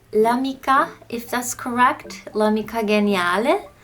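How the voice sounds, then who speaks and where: Speaking at a fairly slow pace, a woman uses a fairly high pitch with ordinary variation. Noticeable background noise runs underneath. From Turkey. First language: Turkish. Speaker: language-learning YouTuber. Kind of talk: casual vlog talk. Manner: casual, filler-heavy.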